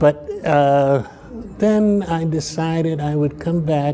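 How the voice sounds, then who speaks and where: Noticeable noise sits behind the recording. The speaker is a man with an American accent. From Chicago, US Midwest. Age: 80s. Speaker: professor emeritus, political scientist. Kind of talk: interview about his life and career. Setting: interview at a university. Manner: reflective, halting, with hesitations.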